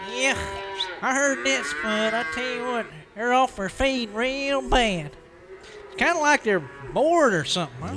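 A man's put-on character voice at an extremely high pitch, with very wide pitch swings, long, frequent pauses and a moderate pace, over clear background noise. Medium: audio drama. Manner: drawling, laconic.

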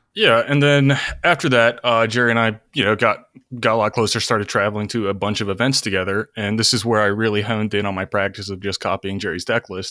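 A man's bright, sharp voice at a fairly low pitch and very fast pace, with fairly even intonation, on a very clean recording with a silent background. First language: not English. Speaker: guest, Magic player and college student. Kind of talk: casual chat.

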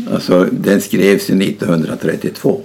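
A man's speech comes through with noticeable noise in the background. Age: 80s+. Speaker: retired basketball coach. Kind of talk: casual interview.

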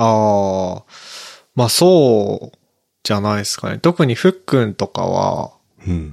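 A man mumbles at a fairly slow pace, his fairly low voice rising and falling with lively intonation, broken by long, frequent pauses. The sound is dry and close, with no echo. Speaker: podcaster. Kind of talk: casual chat. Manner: mumbling.

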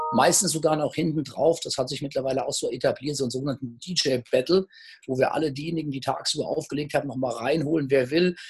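Somewhat breathy and fairly high in pitch, a man talks at a very fast pace. His intonation is fairly even. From Hesse, Germany (Gießen/Marburg). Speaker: startup investor and entrepreneur. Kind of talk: casual interview. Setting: online video call.

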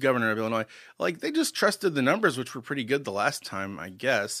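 A man's medium-pitched voice moves at a very fast pace with very wide pitch swings. The recording is very clean, with a silent background. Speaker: podcast host and comedian. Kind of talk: casual chat.

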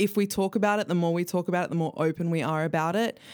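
A woman speaks with a normal speaking voice at a fairly low pitch. Her intonation stays fairly even. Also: very clean recording, silent background. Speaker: youth ambassador volunteer. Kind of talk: testimony.

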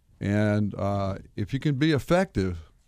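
Over a very clean recording with a silent background, a man with a medium pitch and lively intonation talks in an unremarkable speaking voice. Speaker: attorney, wills and estates. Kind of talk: radio interview.

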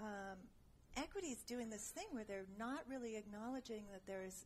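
A woman's somewhat breathy voice, fairly high in pitch, with ordinary pitch variation. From San Francisco Bay Area, Berkeley. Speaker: actress and costume designer. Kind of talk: casual chat.

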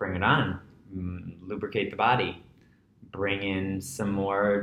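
The room echo can be heard clearly. He is a man with an American accent. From New York City (Breezy Point, Queens). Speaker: yoga teacher. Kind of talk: casual interview. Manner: animated.

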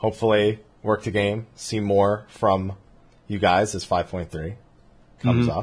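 A man puts on a raspy character voice at a fairly low pitch. He talks at a fairly slow pace in a monotone, flat intonation, with long, frequent pauses. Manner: slow, relaxed, chill.

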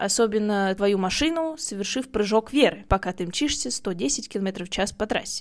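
A woman with a normal speaking voice talks at a moderate pace with lively intonation on a very clean recording with a silent background. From Russia. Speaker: podcast host. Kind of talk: scripted narration.

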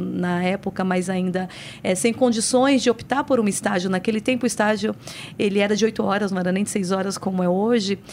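This woman has a plain, everyday voice of medium pitch. She talks at a fairly quick pace with ordinary pitch variation. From São Paulo, Brazil (born in Paraíba, moved at five). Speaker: municipal secretary and lawyer. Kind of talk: interview.

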